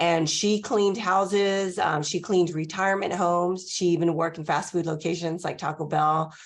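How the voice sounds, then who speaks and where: Over a quiet background, a woman talks in a fairly low pitch with vocal fry and fairly even intonation. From Los Angeles, California. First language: Spanish. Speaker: college president. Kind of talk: podcast interview.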